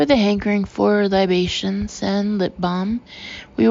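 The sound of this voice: The speaker uses an unforced reading voice. An unforced reading voice is heard throughout.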